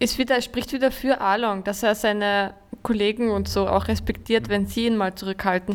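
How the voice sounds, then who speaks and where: Using a normal speaking voice, a woman holds a medium pitch and fairly even intonation. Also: moderate pace. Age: 20s. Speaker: teacher, podcast co-host. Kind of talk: casual chat.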